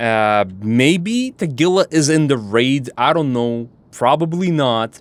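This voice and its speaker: A man with a non-native accent, medium-pitched, at a very slow pace with hardly any pauses, lively intonation and very even loudness. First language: not English. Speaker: gaming streamer. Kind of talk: gameplay commentary. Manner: casual, profane.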